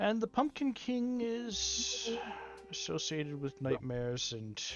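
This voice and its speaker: Over clear music in the background, a put-on character voice speaks at a fairly slow pace. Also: man. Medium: actual play. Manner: matter-of-fact.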